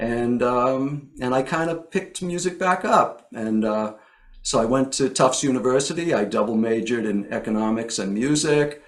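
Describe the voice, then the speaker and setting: In an American accent, a man uses a normal speaking voice at medium pitch. He goes at a moderate pace with lively intonation. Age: 60s. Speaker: songwriter. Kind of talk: interview.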